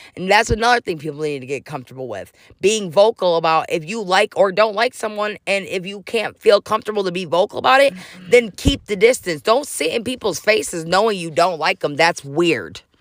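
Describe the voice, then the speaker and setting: Speaking fairly quickly at a medium pitch, a woman sounds animated, with lively intonation, big swings in loudness, and a dry, close sound with no echo. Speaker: podcast host. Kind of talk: casual chat.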